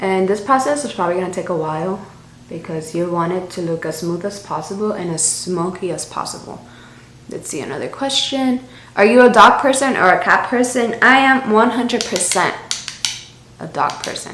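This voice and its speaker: A woman with a strong Spanish accent, lively intonation and big swings in loudness, over noticeable background noise and audible room echo. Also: medium pitch for a woman, moderate pace. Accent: thick Spanish. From Miami, US. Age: 20s. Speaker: beauty YouTuber. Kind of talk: makeup tutorial with Q&A. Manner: casual, chatty.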